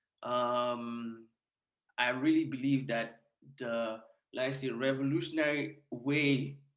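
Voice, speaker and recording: A man's fairly high voice at a very slow pace, with fairly even intonation and audible room echo. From Nigeria (Lagos). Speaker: community founder and storytelling coach. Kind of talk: launch event presentation. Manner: halting, many fillers.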